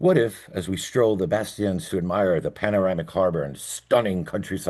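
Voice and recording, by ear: The text is read aloud in a natural voice, and the pitch varies in an ordinary way.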